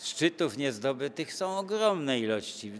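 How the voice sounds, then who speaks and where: A man speaks at a very slow pace. Light background noise is heard behind him. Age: 80s+. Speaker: mountain cartographer; interviewee. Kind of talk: interview. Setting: travel festival. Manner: halting. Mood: calm, enthusiastic. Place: shop.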